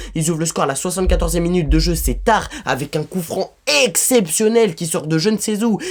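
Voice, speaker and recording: A man speaks with a high pitch. His pitch varies in an ordinary way. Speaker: football YouTuber. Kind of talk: hot-take match debrief. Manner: fast; animated.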